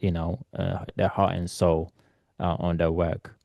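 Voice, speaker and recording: A dark, mellow, flat monotone with a non-native accent at a fairly slow pace, dry and close with no echo over a quiet background. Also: man. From Eritrea, raised in London. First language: not English. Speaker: photographer. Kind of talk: interview. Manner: halting, many fillers.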